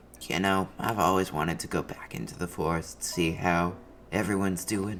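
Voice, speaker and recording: Over clear background noise, a man puts on a raspy character voice with a very deep, low pitch, speaking at a moderate pace. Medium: actual play. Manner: spry, conspiratorial.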